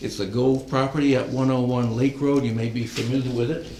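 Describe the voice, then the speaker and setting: Over noticeable background noise and audible room echo, a man talks at a very fast pace with fairly even intonation and a medium pitch. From New Hampshire, near Keene. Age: 70s. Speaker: retired applicant at town hearing. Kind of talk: public hearing presentation. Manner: halting, many fillers.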